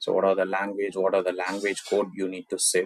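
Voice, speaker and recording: A man speaks with a Tamil accent. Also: dry, close sound with no echo. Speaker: software tutorial creator. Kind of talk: screen-recorded tech tutorial. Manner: casual, with filler words.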